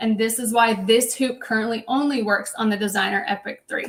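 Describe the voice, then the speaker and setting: A woman's fairly high, somewhat breathy voice, fairly even in intonation, at a moderate pace. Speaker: sewing machine educator. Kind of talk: live product demonstration. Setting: livestream.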